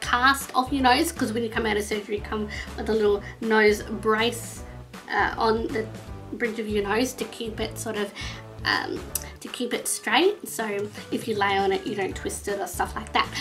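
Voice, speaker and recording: A woman with an Australian accent, clear music in the background. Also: moderate pace. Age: 20s. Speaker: vlogger. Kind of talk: casual talk to camera. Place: home room. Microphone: webcam.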